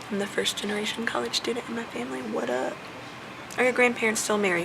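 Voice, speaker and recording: Quiet and very fast, a woman with an American accent speaks at a medium pitch with very wide pitch swings over noticeable background noise. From US South. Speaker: vlogger. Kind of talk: casual chat. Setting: airport.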